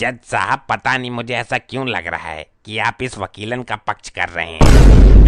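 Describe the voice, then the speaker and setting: Doing a cartoonish character voice, a man speaks at a moderate pace and a medium pitch. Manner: rustic, comic.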